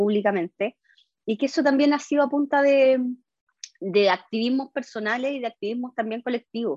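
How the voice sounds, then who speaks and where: A woman with a Chilean accent at a fairly quick pace. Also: dry, close sound with no echo. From Chile, O'Higgins region (San Fernando). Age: 40s. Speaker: constitutional convention member. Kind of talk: interview.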